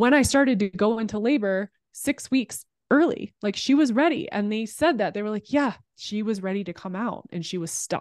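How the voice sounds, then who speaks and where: An ordinary speaking voice with ordinary pitch variation comes through a dry, close sound with no echo against a quiet background. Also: woman. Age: 30s. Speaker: podcast producer and former sports TV host. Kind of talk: casual interview.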